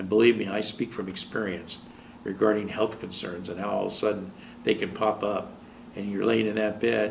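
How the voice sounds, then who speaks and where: With an American accent, a man talks at a fairly quick pace. He has a normal speaking voice with a fairly low pitch. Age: 60s. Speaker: TV talk show host and relationship counselor. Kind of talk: television monologue giving relationship advice.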